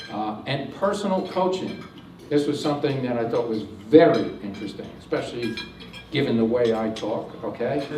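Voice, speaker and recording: A man talks at medium pitch with lively intonation. The audio has audible room echo and noticeable background noise. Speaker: technology presenter. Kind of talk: presentation to audience. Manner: fast; many filler words.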